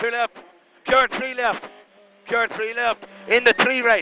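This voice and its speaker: A man's extremely high-pitched voice amid noticeable background noise. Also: dry sound with no echo. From Ireland. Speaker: rally co-driver. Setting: inside a rally car during a stage. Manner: excitable, encouraging bursts between calls. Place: car. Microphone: helmet.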